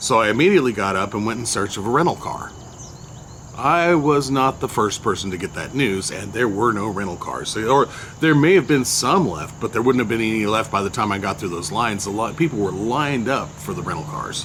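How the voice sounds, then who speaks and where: A man at a fairly quick pace, medium pitch and lively intonation, with noticeable background noise. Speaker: entertainer and blogger. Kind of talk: personal storytelling monologue. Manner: hesitant, many fillers.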